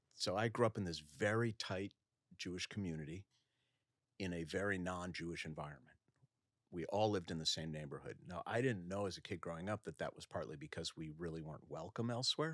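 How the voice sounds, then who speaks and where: Recorded dry and close with no echo, a man with an American accent speaks in a very deep, low pitch. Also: ordinary pitch variation, fairly quick pace. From US Midwest, Minnesota (suburb of Minneapolis). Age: 60s. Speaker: rabbi and author. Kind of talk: podcast interview. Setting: in-person studio.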